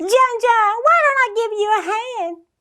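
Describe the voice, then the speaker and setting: A woman's put-on character voice, squeaky and extremely high-pitched, at a moderate pace with ordinary pitch variation. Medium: read story.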